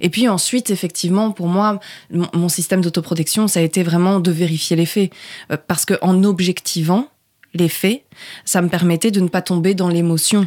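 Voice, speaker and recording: Here a woman talks at a moderate pace in a fairly low register. Both her intonation and her loudness stay very even. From southern France, Provence. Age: 20s. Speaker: journalist. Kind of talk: interview.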